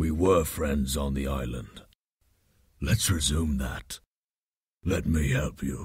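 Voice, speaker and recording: A man's very deep, low, raspy voice at a fairly slow pace, with long, frequent pauses. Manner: menacing, then calm.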